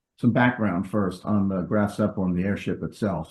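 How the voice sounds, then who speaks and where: The speaker has a New York accent. The intonation stays fairly even. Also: man. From New York, US. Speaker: stamp collector presenting a talk. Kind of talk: presentation lecture. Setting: video call. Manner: hesitant with frequent ums.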